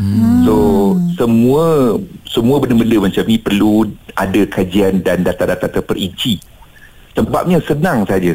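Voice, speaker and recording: With a plain, everyday voice, a man of medium pitch talks fairly slowly, his intonation lively. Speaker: automotive expert. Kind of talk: radio phone interview.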